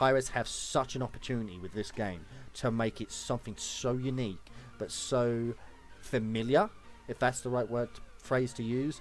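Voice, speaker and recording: With music in the background, a man speaks at a medium pitch and moderate pace in an animated, excited tone. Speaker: gaming YouTuber. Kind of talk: casual vlog talk. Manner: stuttering, stumbling.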